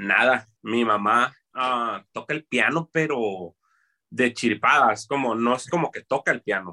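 A man speaks at a very slow pace. His tone is bright and sharp. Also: medium pitch for a man, ordinary pitch variation, dry, close sound with no echo. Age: 30s. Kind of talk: casual interview.

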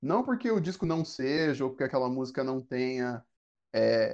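Against a quiet background, a man with a dark, mellow tone speaks at a fairly slow pace in a fairly high pitch with ordinary variation. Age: 30s. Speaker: podcast co-host. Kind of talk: casual chat.

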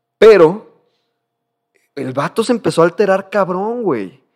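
This man speaks with a Mexican accent. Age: 20s. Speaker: podcast host. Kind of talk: casual chat.

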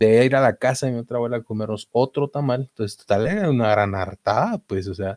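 A man's medium-pitched voice, very fast with hardly any pauses, ordinary pitch variation, and a dry, close sound with no echo. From Guatemala, Mazatenango. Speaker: podcast co-host. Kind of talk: casual chat.

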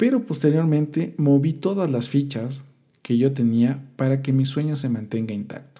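A man speaks with a dark, mellow tone. His pace is moderate and his pitch variation ordinary. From Ecuador, Quito. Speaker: podcast host, musician and marketing entrepreneur. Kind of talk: motivational monologue. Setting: solo podcast recording.

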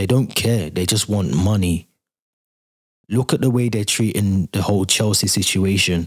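Using a normal speaking voice, a man talks at a moderate pace with a fairly low pitch and fairly even intonation. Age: 30s. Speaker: podcast host. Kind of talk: casual solo commentary.

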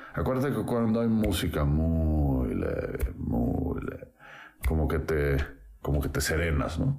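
A man with a very deep, low voice and very wide pitch swings, fairly slow, over noticeable background noise. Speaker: architect and musician. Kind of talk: casual interview.

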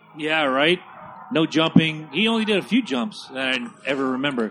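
A man's fairly high, fairly quick voice with very wide pitch swings, music in the background. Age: 40s. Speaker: podcast co-host. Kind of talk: casual movie commentary. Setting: home studio on couches in front of a TV.

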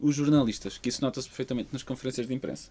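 In a very clean recording with a silent background, a man speaks at medium pitch with a dark, mellow tone. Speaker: podcast co-host. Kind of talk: casual chat.

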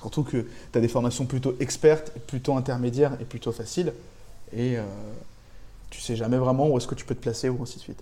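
Speaking at a fairly quick pace with long, frequent pauses, a man uses a somewhat breathy, dark, mellow voice at medium pitch, monotone and flat in intonation, with big swings in loudness. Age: 20s. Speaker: freelance web developer. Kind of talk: casual interview.

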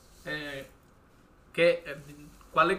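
Here a man speaks in a fairly high pitch with a bright, sharp tone. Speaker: podcast host. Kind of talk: casual interview. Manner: halting.

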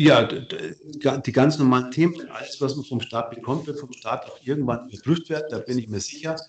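A man talks with hardly any pauses in a somewhat breathy voice. His pitch is fairly high and his intonation fairly even. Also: moderate pace. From Bavaria, Ingolstadt. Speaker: tax advisor. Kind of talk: casual interview.

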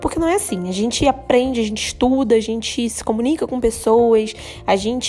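Noticeable background noise under a fairly quick, fairly high-pitched woman's voice. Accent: Brazilian. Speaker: podcast host. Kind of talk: solo podcast monologue. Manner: casual, with many filler hesitations.

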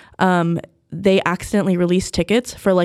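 With an American accent, a woman with an unremarkable speaking voice and a fairly low pitch talks in fairly even intonation, the sound dry and close with no echo. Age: 20s. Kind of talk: casual chat.

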